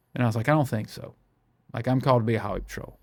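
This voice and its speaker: A man speaks with a Mississippi accent at a medium pitch. The recording is very clean, with a silent background. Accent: Southern US (Mississippi). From US South, Brookhaven, Mississippi. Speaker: pastor. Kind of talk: testimony. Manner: animated, repeats words.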